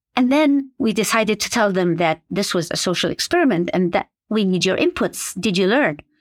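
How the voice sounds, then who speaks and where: In a very clean recording with a silent background and a dry, close sound with no echo, a woman with an Arabic accent and a medium pitch talks at a fairly quick pace with lively intonation, very even loudness and hardly any pauses. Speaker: medical education professor. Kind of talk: interview. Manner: hesitant, many fillers.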